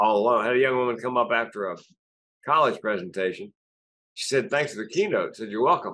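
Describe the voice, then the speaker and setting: A man at a very fast pace, his tone bright and sharp. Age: 60s. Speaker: comedian and suicide prevention speaker. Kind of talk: interview conversation.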